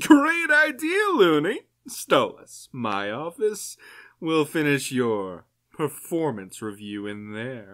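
Using a put-on character voice, a man with a fairly high pitch speaks at a very slow pace. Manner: brash, crude.

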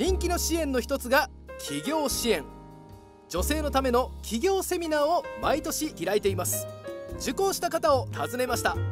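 Music sounds in the background. Over it, a man talks at a moderate pace. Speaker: rakugo performer. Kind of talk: municipal TV program narration.

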